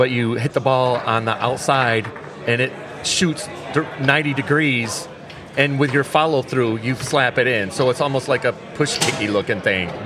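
With an American accent, a man speaks at a moderate pace in a medium pitch, his loudness very even and his pitch varying in an ordinary way over noticeable background noise. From New York. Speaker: tournament organizer and foosball player. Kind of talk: casual interview. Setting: on location at a tournament hotel.

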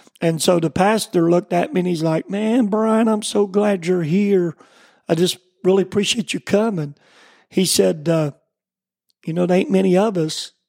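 In a very clean recording with a silent background and a dry, close sound with no echo, a man with a high pitch talks at a moderate pace, leaving long, frequent pauses. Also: ordinary pitch variation. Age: 40s. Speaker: pastor and evangelist. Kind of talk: personal testimony in interview.

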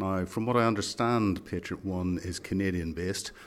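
A man's plain, everyday voice, fairly low in pitch, at a moderate pace with ordinary pitch variation. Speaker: podcast host. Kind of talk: interview. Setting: conference venue.

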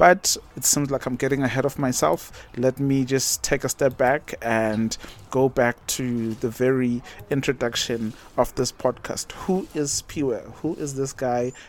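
Noticeable background noise sits behind a man speaking at a medium pitch. His pace is fairly slow and his intonation fairly even. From South Africa, Durban area (KwaZulu-Natal). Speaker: podcast host. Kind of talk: casual monologue. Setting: outdoors.

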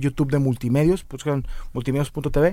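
Speaking very fast with a northern Mexican accent, a man uses a fairly high pitch on a very clean recording with a silent background. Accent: northern Mexican Spanish (Monterrey). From Mexico, Monterrey. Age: 30s. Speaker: comedian and radio announcer. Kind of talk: casual chat.

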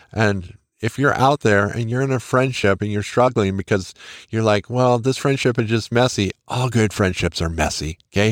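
With a normal speaking voice at medium pitch and ordinary pitch variation, a man is heard on a very clean recording with a silent background, dry and close with no echo. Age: 50s. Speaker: podcast host. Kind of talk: personal tribute monologue.

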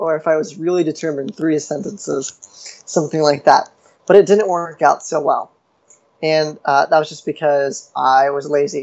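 This is a man with a plain, everyday voice. He talks at a moderate pace with fairly even intonation. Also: fairly high pitch for a man. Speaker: writer and panelist. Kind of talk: panel discussion.

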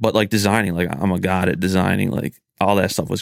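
A man talks with a very deep, low pitch and vocal fry. His pace is moderate and his intonation fairly even. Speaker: small business owner. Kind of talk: casual chat. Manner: monotone.

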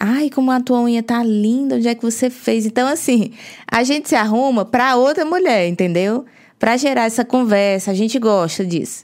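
A woman's plain, everyday voice, fairly high in pitch, at a moderate pace and very even loudness. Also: ordinary pitch variation. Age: 30s. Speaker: podcast co-host, health and weight-loss coach. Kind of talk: casual chat.

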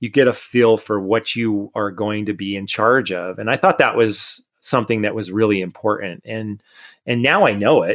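The recording is very clean with a silent background, and a man speaks in a normal speaking voice. His pitch is fairly low, his intonation fairly even, and his pace moderate. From Connecticut, US. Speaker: mountain bike tour company owner. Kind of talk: casual interview.

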